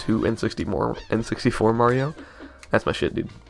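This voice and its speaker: A man speaks with music playing in the background. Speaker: let's play gamer. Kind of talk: casual gameplay commentary. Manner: fast.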